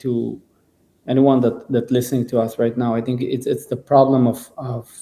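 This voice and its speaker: A man with a non-native accent speaks at a medium pitch. His tone is dark and mellow, and his pace moderate. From Israel. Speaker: singer and musician. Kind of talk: podcast conversation. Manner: halting, many repetitions and fillers.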